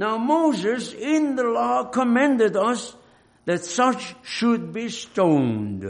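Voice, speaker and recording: Noticeable noise sits behind a man who talks very slowly. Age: 80s. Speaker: preacher. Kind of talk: sermon. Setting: church.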